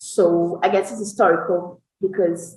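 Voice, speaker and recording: A Brazilian Portuguese accent at a very slow pace. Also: woman. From Brazil, Rio de Janeiro. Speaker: NGO advocacy director. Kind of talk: interview. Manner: halting.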